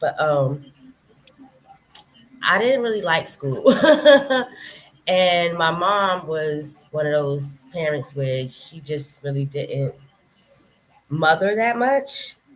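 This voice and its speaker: A quiet woman with an American accent speaks at a very slow pace, leaving long, frequent pauses. Her pitch is very deep and low, yet her intonation is lively. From Brooklyn, New York. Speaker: interview guest. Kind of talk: interview.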